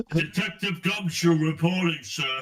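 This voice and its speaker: A man's put-on character voice, high in pitch, at a moderate pace with fairly even intonation. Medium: actual play. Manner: blunt, casual.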